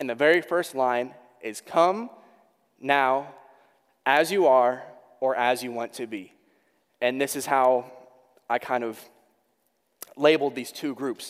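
A man talks at a medium pitch with ordinary pitch variation. His loudness swings widely, and his pauses are long and frequent. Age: 20s. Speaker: youth pastor. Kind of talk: sermon. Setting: church. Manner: fast; animated.

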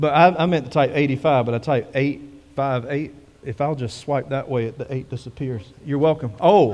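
At a moderate pace, a man speaks at medium pitch with a slightly mellow tone and ordinary pitch variation.

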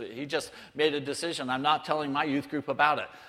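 A man speaks against noticeable background noise. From southern California, near Mexican border. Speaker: missionary. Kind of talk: sermon.

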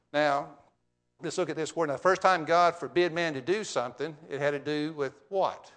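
A plain, everyday voice, this man has a fairly high pitch and speaks at a moderate pace with fairly even intonation over a quiet background. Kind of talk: sermon. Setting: church.

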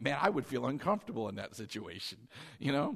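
A man speaks loudly in a bright, sharp, animated tone with very wide pitch swings against a quiet background. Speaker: pastor. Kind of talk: sermon. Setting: church.

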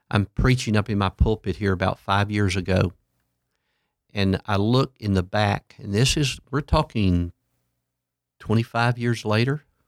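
A man's fairly low voice, with ordinary pitch variation, comes through on a very clean recording with a silent background. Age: 60s. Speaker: pastor. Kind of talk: casual interview chat.

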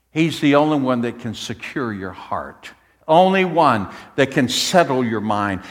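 This man has an unremarkable speaking voice at a medium pitch. His intonation is lively. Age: 60s. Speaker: pastor. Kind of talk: sermon. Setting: church.

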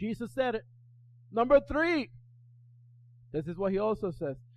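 A man shouts with very wide pitch swings. His tone is animated. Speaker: pastor. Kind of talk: sermon. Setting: church with congregation. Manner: loud, animated, yelling and repeating lines in full flow; urgent, exhorting the congregation with call-and-response.

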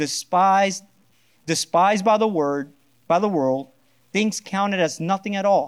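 The audio is very clean and the background silent. The voice carries a Spanish accent. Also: man. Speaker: pastor. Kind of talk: sermon. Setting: church.

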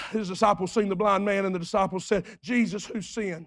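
At a moderate pace, a man talks in a high voice with fairly even intonation. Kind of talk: sermon, preacher in full flow with a call-and-response congregation. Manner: rhythmic and repetitive, building in intensity with vivid storytelling.

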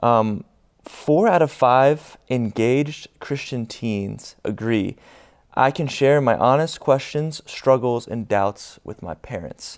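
A man's medium-pitched voice at a very slow pace, with ordinary pitch variation and big swings in loudness. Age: young. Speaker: student ministries pastor. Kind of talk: church panel discussion. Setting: church stage with congregation.

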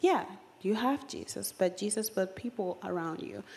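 In an American accent, a normal speaking voice moves at a fairly slow pace. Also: woman. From foreign-born, outside the US. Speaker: church member giving testimony. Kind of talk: testimony. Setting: church stage.

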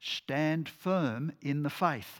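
A man with an Australian accent speaks with ordinary pitch variation on a very clean recording with a silent background. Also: dry, close sound with no echo. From Australia, New South Wales. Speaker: lay preacher. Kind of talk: sermon.

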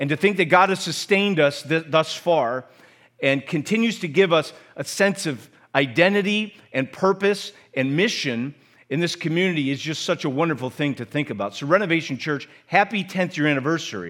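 The man has an unremarkable speaking voice, fairly high for a man, at a moderate pace. The recording is very clean with a silent background. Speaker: pastor. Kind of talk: sermon. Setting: church.

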